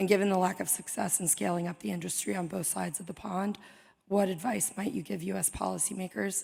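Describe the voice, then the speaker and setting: This voice has vocal fry and moves at a fairly quick pace. Its pitch varies in an ordinary way. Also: woman. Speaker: audience member asking a question. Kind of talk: audience question at live event. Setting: stage with live audience.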